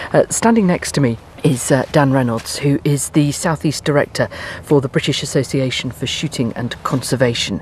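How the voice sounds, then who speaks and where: A woman speaks quietly at a very deep, low pitch with lively intonation. Noticeable background noise is present. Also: moderate pace. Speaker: radio presenter. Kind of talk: radio presenting. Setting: outdoors on a farm shoot. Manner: speaking quietly.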